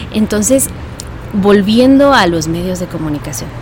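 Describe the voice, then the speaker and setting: A woman speaks at a fairly slow pace with lively intonation and a medium pitch, while music plays in the background. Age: 20s. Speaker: voice-over artist and preacher. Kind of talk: interview.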